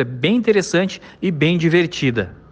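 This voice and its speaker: This man has a high voice that swings very widely in pitch. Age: 40s. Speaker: site editor giving a recorded testimonial. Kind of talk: recorded testimonial.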